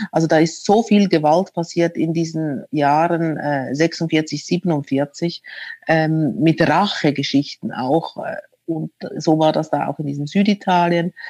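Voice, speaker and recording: A woman speaks at a very slow pace with a fairly low pitch and fairly even intonation. Her tone is dark and mellow, and the sound is dry and close with no echo. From Switzerland. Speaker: author. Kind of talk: interview. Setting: remote call from home.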